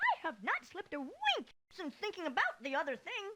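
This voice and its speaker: At a moderate pace, a put-on character voice squeaks out at an extremely high pitch. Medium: video game. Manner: earnest, determined.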